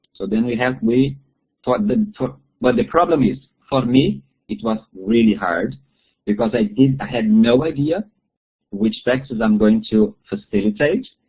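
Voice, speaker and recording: A man with a Portuguese accent speaks at a medium pitch with ordinary pitch variation. He leaves long, frequent pauses. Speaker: bible study facilitator. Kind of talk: webinar talk. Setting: online webinar. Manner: halting.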